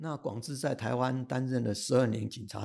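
A man's medium-pitched voice, dark and mellow in tone, with vocal fry at a moderate pace. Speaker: retired civil servant and history writer. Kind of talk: interview storytelling.

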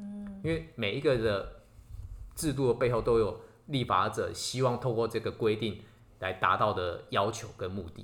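A man with an ordinary speaking voice, medium in pitch, lively in intonation and moderate in pace. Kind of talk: casual explanatory chat aimed at a child.

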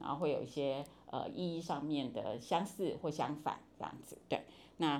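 A woman with a very deep, low pitch, ordinary pitch variation and a moderate pace. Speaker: university professor of Chinese. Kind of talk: interview.

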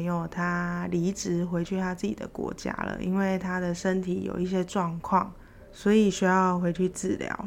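A woman with a medium pitch talks at a fairly slow pace in monotone, flat intonation. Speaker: podcaster working abroad. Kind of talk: solo casual storytelling.

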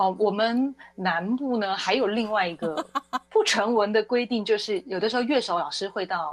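A woman speaks at a moderate pace and medium pitch with ordinary pitch variation. She has an unremarkable speaking voice. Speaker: wedding singer. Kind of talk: casual interview chat. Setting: studio.

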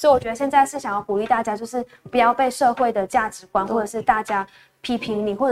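A woman rattles along very quickly, her voice fairly high and her intonation fairly level. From Malaysia. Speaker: singer-songwriter. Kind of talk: interview. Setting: radio studio, live broadcast.

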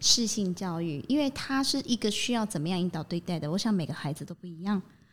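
A woman's voice moves fairly quickly, its intonation bright and lively. The audio is very clean and the background silent. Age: 40s. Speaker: psychological counselor and educator. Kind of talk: podcast interview. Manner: fast.

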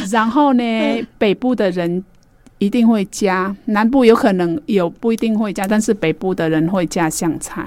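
A woman speaks at a moderate pace with a Vietnamese accent. Her medium-pitched voice shows ordinary pitch variation. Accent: Vietnamese-accented Mandarin. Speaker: radio host. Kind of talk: radio talk show.

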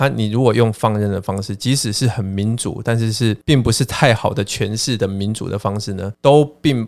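In a normal speaking voice, a man talks at a moderate pace with a fairly low pitch. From Taiwan. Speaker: education expert and professor. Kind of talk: casual interview chat.

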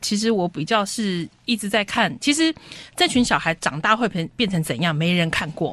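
On a very clean recording with a silent background, a woman speaks at a moderate pace and medium pitch, her pitch swinging very widely. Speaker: homeschooling co-op parent. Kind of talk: radio interview.

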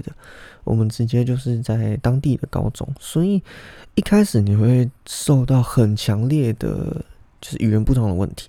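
In a very clean recording with a silent background, a man with a dark, mellow tone speaks at a moderate pace and medium pitch, with ordinary pitch variation. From Taiwan. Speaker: podcast host. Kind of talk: casual monologue.

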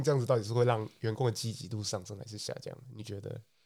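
A somewhat breathy man talks at a very fast pace. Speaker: podcast co-host. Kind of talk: casual chat.

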